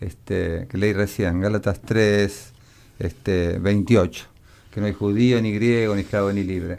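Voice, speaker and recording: A man speaks at a fairly slow pace and fairly low pitch. His tone is dark and mellow. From Argentina, Rosario. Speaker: radio host. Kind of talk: radio interview.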